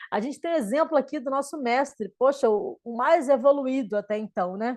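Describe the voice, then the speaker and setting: Her intonation lively, a woman speaks in a high pitch. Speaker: spiritual teacher. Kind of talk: lecture. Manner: slow; halting.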